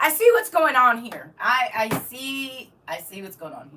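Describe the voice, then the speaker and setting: A woman speaks in a raised, projected voice at a very slow pace. Her pitch swings very widely. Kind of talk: casual, Southern US dialect ("y'all"). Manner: playful, teasing.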